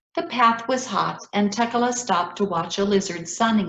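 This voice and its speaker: In an American accent, a woman with a normal speaking voice talks at medium pitch and a fairly slow pace, her intonation lively. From Ethiopia. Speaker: children's author. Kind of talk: reading aloud.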